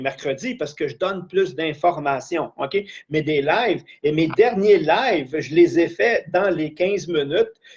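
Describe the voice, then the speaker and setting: This man's high-pitched voice moves at a fairly slow pace with hardly any pauses and big swings in loudness. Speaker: life coach / trainer. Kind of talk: live-streamed training session. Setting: live stream.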